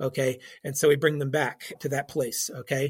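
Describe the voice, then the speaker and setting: Speaking at a moderate pace, a man has a plain, everyday voice with a fairly high pitch. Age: 50s. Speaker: church counselor and licensed counselor. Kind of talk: interview on faith and mental health. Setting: call.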